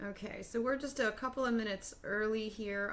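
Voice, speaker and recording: Audible room echo surrounds the recording. The speaker is a woman. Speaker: mixed-media artist streaming. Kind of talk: casual live stream chat. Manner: loud; chatty, meandering with fillers.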